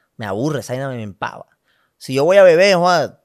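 A man with a Colombian Caribbean accent talks at a fairly quick pace with lively intonation over a quiet background. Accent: Colombian Caribbean coast Spanish. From Colombia, Valledupar. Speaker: comedy content creator. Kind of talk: casual interview chat. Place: studio. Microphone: studio mic.

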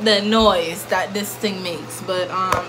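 A woman talks at a fairly slow pace. Loud background noise surrounds her voice. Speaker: vlogger. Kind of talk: casual vlog chat. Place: bathroom. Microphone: phone near.

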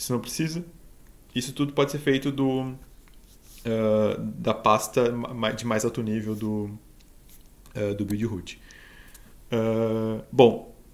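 A man of medium pitch at a very slow pace, with long, frequent pauses and ordinary pitch variation. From Rio Grande do Sul, Brazil. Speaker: embedded software engineer; conference speaker. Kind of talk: tech talk presentation. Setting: online live stream. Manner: halting, many fillers. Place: home room.

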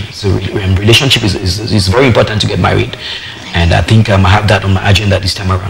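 A man talks at a very fast pace in a fairly low voice. His intonation is fairly even, and background noise is noticeable. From Cameroon, Northwest (Nso area); Cameroon. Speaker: musician; guest. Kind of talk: interview. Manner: halting. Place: studio. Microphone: lapel.

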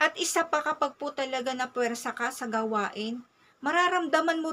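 Raising and projecting her voice, a woman speaks at a high pitch and moderate pace with ordinary pitch variation. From Philippines. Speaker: mom vlogger. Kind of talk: personal advice talk. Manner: polite. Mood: earnest, advising. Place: home room. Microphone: phone near.

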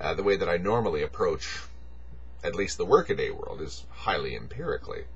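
Light noise sits behind a man who talks at a moderate speed. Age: 40s. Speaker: video blogger. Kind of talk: monologue. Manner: halting; rambling. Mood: reflective, earnest. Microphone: webcam.

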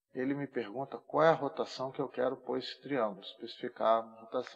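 A man with a Brazilian accent talks at a fairly quick pace with hardly any pauses and ordinary pitch variation. His loudness swings widely against a quiet background. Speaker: AutoCAD instructor. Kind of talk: tutorial. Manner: casual, informal. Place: home room.

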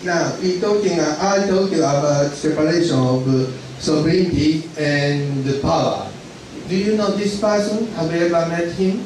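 A man with a high pitch and ordinary pitch variation speaks fairly slowly, with audible room echo and light background noise. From Japan. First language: Japanese. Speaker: lecturer on accounting. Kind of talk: lecture. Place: hall.

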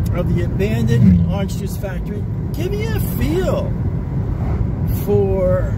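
Loud noise sits in the background while a man talks at a fairly slow pace. The sound is dry, with no echo. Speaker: vlogger. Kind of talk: casual vlog chat. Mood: excited, earnest. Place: car. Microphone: phone near.

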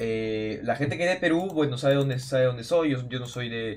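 A man keeps to a moderate pace, his pitch varying in an ordinary way. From Peru. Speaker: gaming youtuber. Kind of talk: casual vlog talk to viewers. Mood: worried, telling about hack. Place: home room.

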